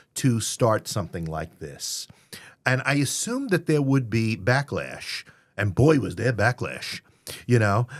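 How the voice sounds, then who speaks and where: Lively intonation and a fairly slow pace mark this speech in a New York accent, on a very clean recording with a silent background. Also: man. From New York City (Queens). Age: 60s. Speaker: theater company founder and playwright. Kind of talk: interview. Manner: halting, many fillers.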